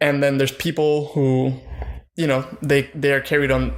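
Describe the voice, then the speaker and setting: A man at a fairly quick pace, fairly high in pitch, with monotone, flat intonation. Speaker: twitch streamer. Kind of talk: casual chat. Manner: fast; mumbling.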